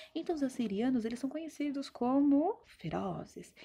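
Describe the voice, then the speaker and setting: A woman speaks with lively intonation. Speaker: teacher. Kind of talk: recorded online history lesson. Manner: fast; animated, colloquial.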